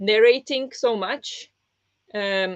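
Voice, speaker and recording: With a non-native accent, the speaker's pitch rises and falls in an ordinary way. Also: woman. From small poor country. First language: not English. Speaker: book club host and book video creator. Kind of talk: live-streamed book discussion, reading chat comments. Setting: live stream with chat. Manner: casual, hesitant with fillers.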